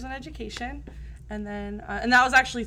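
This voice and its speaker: The voice is a woman's. Her accent is American. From New Jersey. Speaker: teacher. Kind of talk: casual chat. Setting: studio. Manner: fast; loud.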